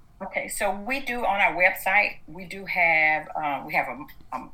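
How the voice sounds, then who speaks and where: A woman with a Southern US accent speaks at a fairly slow pace, with audible room echo around her voice. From US South, Atlanta, Georgia. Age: 60s. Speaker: activist. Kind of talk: interview.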